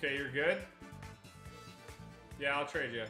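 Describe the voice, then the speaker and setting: A man with a Canadian accent, music in the background. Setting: online game chat. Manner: casual, friendly gaming banter.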